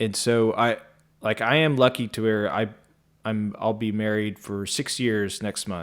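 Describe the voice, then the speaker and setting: A man speaks slowly, at a fairly low pitch, with fairly even intonation. It is a plain, everyday voice on a very clean recording with a silent background. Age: 30s. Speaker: podcast host, journalist. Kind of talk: casual chat.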